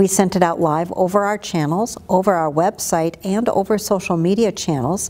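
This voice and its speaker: The tone is dark and mellow, the pace moderate, and the pitch variation ordinary. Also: woman. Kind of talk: interview answer. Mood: proud, upbeat.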